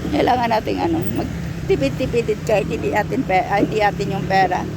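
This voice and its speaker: A woman's medium-pitched voice at a fairly quick pace, with lively intonation, very even loudness and noticeable background noise. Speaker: vlogger, domestic worker abroad. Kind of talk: casual vlog. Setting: grocery store. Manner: halting, filler-heavy.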